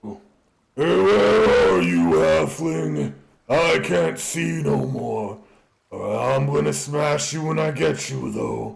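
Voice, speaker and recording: A man's booming, raspy put-on character voice, very deep and low in pitch, at a very slow pace with audible echo. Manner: threatening.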